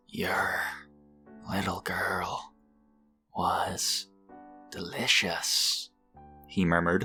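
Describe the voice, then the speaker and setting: In a put-on character voice with a menacing tone, someone speaks soft and raspy at a very slow pace, with long, frequent pauses over faint background music. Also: man, very deep, low pitch for a man. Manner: murmuring, menacing.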